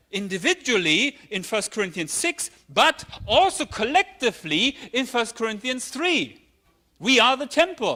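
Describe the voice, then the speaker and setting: Speaking at a fairly slow pace, a man raises and projects his extremely high-pitched voice, bright and sharp in tone, with very wide pitch swings. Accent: German. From Germany. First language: German. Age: 50s. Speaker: pastor. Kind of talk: sermon.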